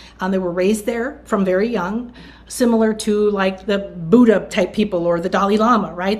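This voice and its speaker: A woman talks at a fairly high pitch with ordinary pitch variation. Her voice is somewhat breathy. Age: 60s. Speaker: spiritual teacher. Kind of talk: interview. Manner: animated.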